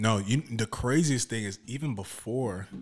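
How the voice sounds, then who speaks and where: Recorded very cleanly against a silent background, a man with an American accent speaks fairly slowly in a normal speaking voice, fairly low in pitch and lively in intonation. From South Oxnard, California. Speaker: bodyguard, former college basketball player. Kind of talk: casual interview. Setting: studio.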